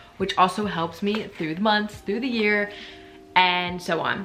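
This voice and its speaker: A woman speaks with fairly even intonation while music plays in the background. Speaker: vlogger and yoga teacher. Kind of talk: casual vlog talk to camera. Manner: fast; hesitant, many fillers.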